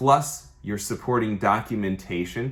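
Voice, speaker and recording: A man with a normal speaking voice, fairly low in pitch, with ordinary pitch variation and a fairly quick pace, on a very clean recording with a silent background. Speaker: mortgage lender. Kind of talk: tutorial. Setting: office. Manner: casual.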